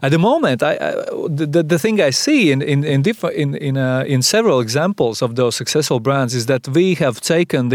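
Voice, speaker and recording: A man with a Latvian accent speaks at a moderate pace in a fairly high pitch, the sound dry and close with no echo on a very clean recording with a silent background. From Latvia, Sigulda. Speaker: advertising agency managing partner. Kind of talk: interview. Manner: halting.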